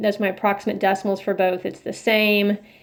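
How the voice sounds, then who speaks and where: This is an ordinary speaking voice at a moderate pace. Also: woman. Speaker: math teacher. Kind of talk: tutorial.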